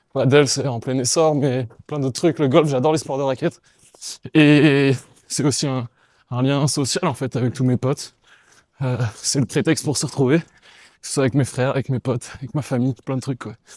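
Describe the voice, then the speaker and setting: The speaker keeps a moderate pace and fairly even intonation, with long, frequent pauses. The sound is dry and close, with no echo. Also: man, medium pitch for a man. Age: 20s. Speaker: professional volleyball player. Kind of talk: casual interview while running. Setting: outdoors, running in a city amid roadworks.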